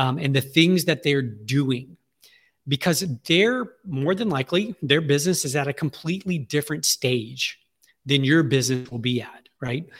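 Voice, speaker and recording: A somewhat breathy man with a Southern US accent, fairly high-pitched, at a moderate pace with ordinary pitch variation. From Louisiana, Alexandria. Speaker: marketing agency CEO. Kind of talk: interview. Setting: remote interview from his office.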